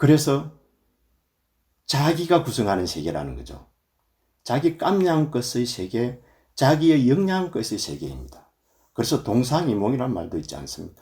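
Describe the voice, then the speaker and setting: Somewhat breathy and dark, mellow in tone, a man speaks at a medium pitch and a moderate pace, with long, frequent pauses, very wide pitch swings and big swings in loudness. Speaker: Buddhist monk, temple abbot. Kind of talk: dharma talk. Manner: filler 'eo' pauses.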